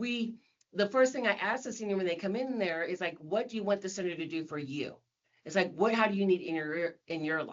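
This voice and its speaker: A woman with a plain, everyday voice talks at a fairly quick pace, her medium pitch carried by lively intonation. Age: 60s. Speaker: senior center coordinator. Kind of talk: podcast interview.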